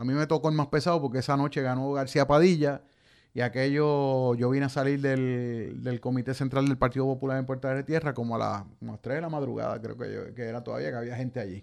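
A normal speaking voice moves at a fairly quick pace with fairly even intonation over a quiet background. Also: man, medium pitch for a man. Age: 50s. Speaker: radio host and journalist. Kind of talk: radio talk show commentary.

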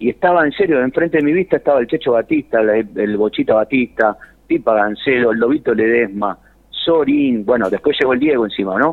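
In a normal speaking voice, a man talks at a fairly quick pace with medium pitch and lively intonation. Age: 50s. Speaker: tango singer. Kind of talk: interview.

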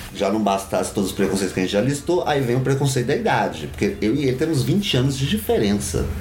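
Over noticeable background noise, a man with a medium pitch races along at a very fast pace with hardly any pauses, very wide pitch swings and very even loudness. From São Paulo, Brazil. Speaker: drag performer. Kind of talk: interview conversation.

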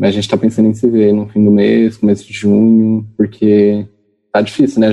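The speaker is a man. His pitch is fairly low. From interior of São Paulo state, Brazil. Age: 20s. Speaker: geography student. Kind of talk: interview. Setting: video call.

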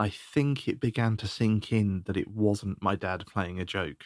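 A moderately paced voice with a British accent, dry and close with no echo, on a very clean recording against a silent background. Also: man. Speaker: podcast host. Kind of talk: recorded story narration.

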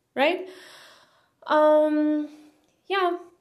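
Audible room echo surrounds a woman with a high pitch who speaks at a very slow pace. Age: 20s. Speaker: poetry podcaster and online language teacher. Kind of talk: casual monologue. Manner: casual, hesitant with frequent fillers.

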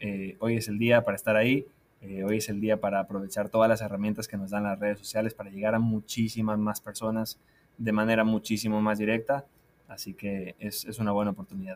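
A fairly low-pitched man at a fairly quick pace, with monotone, flat intonation. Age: 20s. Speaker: digital marketing school director. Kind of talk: interview.

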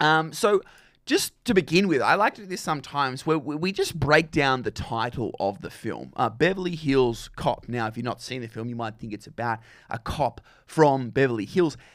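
A man speaks at a moderate pace in a fairly high voice, his intonation lively and his loudness swinging widely. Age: 20s. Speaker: community radio film show host. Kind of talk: solo radio monologue on films. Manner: halting, many repetitions and fillers.

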